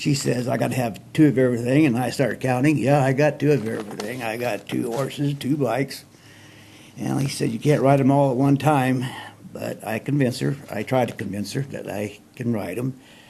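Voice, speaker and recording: With fairly even intonation and a medium pitch, a man talks fairly quickly against noticeable background noise. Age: 60s. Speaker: storyteller. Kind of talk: casual storytelling monologue. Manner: folksy, rambling.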